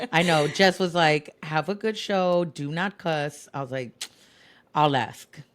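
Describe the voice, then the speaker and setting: This woman has a fairly low pitch and ordinary pitch variation, speaking at a fairly slow pace. The recording is very clean, with a silent background. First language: Spanish. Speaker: DJ. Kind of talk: casual chat. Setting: podcast recording. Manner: animated.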